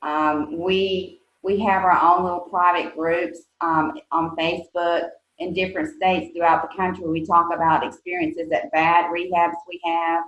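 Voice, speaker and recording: A woman speaks in a Southern US accent at a fairly low pitch. Her intonation is monotone and flat. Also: moderate pace. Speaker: nonprofit executive director. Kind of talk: interview. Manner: hesitant, many fillers.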